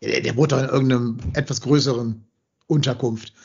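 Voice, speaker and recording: Some breathiness runs through this voice. The intonation holds fairly level. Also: man. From Hamburg, northern Germany. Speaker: football podcast host. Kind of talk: casual chat.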